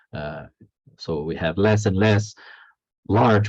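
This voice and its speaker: A man speaks at a fairly slow pace. He has a non-native accent. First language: not English. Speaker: philosophy of history professor. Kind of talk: academic lecture read from text. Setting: online lecture. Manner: halting, with many fillers and repetitions.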